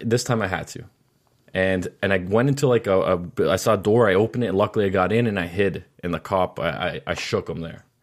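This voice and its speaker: A man with an American accent and a fairly low pitch speaks very fast, with ordinary pitch variation. The recording is very clean, with a silent background. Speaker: podcast co-host. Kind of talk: casual banter podcast.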